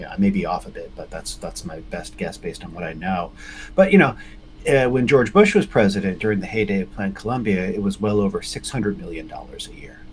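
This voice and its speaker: Music plays behind a man talking at a very fast pace. His loudness swings widely. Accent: American. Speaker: US foreign policy expert. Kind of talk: interview.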